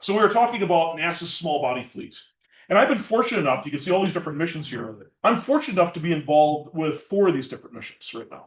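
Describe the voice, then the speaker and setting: A man with a Minnesotan accent talks very fast in a high pitch, with lively intonation and big swings in loudness. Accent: Minnesota. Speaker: planetary scientist. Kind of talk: public science lecture.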